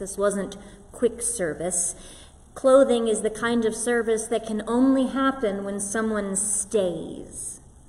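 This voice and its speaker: Over noticeable background noise, a woman with a fairly high pitch talks at a very slow pace with ordinary pitch variation. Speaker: pastor. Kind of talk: sermon delivered to a congregation.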